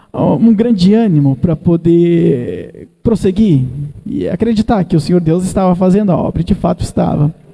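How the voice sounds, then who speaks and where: This man's pitch is high, and it varies in an ordinary way. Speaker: evangelist preacher. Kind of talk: sermon. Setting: church.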